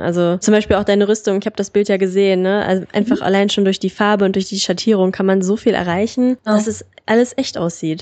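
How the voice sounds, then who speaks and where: Medium-pitched female voice in a monotone, flat intonation. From Germany, Solingen. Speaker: podcast host. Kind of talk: casual interview.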